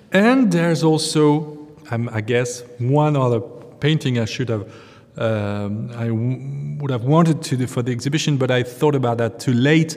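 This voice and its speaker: A man with a French accent at medium pitch and a fairly slow pace, ordinary pitch variation, noticeable background noise. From France. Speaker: museum curator. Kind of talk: interview. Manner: halting, many fillers.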